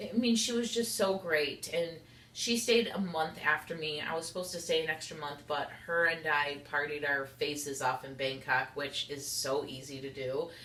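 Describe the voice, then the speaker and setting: A woman's very deep, low voice at a moderate pace, with hardly any pauses, audible room echo and noticeable background noise. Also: lively intonation. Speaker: YouTuber. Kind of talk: casual vlog monologue. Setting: sitting on kitchen floor at home.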